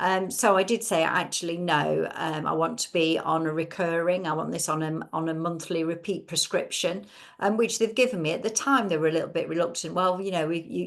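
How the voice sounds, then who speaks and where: Speaking at a fairly quick pace, a woman with an English accent uses a fairly low pitch and some vocal fry. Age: 60s. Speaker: webinar host. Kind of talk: casual chat.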